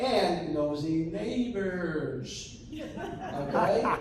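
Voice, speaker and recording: Amid noticeable background noise and audible room echo, a man speaks in a high pitch. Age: 50s. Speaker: sheriff's deputy. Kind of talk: community presentation.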